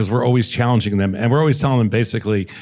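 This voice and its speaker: The voice, an ordinary speaking voice, shows ordinary pitch variation. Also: man. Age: 60s. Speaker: entrepreneur and investor. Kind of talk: panel discussion.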